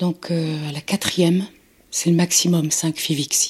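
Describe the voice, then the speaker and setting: A woman's fairly low, somewhat breathy voice in a monotone, flat delivery. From Nantes, western France. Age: 60s. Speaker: mother of kidnapped newborn. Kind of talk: testimony.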